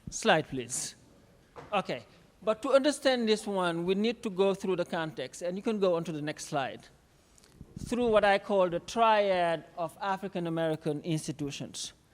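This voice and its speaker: Recorded very cleanly against a silent background, a high-pitched man with a non-native accent talks at a moderate pace. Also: lively intonation. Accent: foreign. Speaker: conference speaker, academic. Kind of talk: conference talk. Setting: stage with audience.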